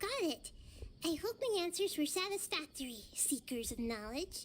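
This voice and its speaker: A woman squeaks in a put-on character voice at an extremely high pitch, with very wide pitch swings and clear background noise behind her. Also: moderate pace. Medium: video game. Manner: soft, measured, thoughtful.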